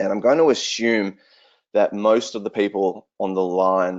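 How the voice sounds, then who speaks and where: A man with an Australian accent speaks in a fairly low voice with fairly even intonation. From southwestern Australia. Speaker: regenerative agriculture researcher. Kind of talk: online presentation.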